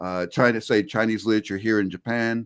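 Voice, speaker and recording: A man with an American accent has a plain, everyday voice. He speaks fairly quickly in a fairly low pitch, with fairly even intonation. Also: dry, close sound with no echo, very clean recording, silent background. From South Florida, USA. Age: 60s. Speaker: professor, polyglot. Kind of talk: interview answer.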